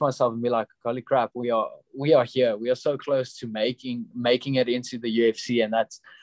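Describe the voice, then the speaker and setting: The sound is dry and close, with no echo. A man talks with a South African accent and fairly even intonation. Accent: Afrikaans South African English. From South Africa, Pretoria. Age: 20s. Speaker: professional MMA fighter. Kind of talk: interview.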